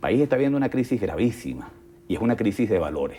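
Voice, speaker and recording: A man's dark, mellow voice with lively intonation. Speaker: think tank director. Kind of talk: interview.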